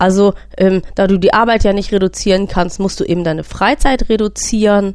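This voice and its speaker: This is an unremarkable speaking voice from a woman at medium pitch. Her pace is moderate and her intonation fairly even. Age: 40s. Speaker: podcast host and patient with a sleep disorder. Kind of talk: personal testimony monologue.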